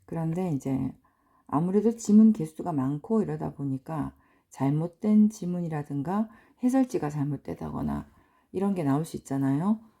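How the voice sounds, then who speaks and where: With a very deep, low pitch and a dark, mellow tone, a woman speaks at a moderate pace, her pitch swinging very widely. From provincial South Korea. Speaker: English teacher, cram school owner. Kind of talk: lecture.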